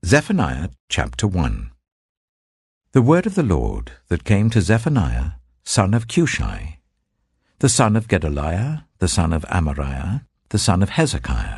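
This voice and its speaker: With a very deep, low pitch and vocal fry, a man talks at a fairly slow pace, swinging his pitch very widely and leaving long, frequent pauses against a quiet background. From British. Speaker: actor. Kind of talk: Bible reading. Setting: studio.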